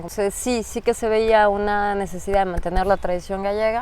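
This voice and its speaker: A woman speaks with a strong Mexican accent at a medium pitch. Her pace is moderate. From Mexico, Mexico City. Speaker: migrant interviewee. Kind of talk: interview.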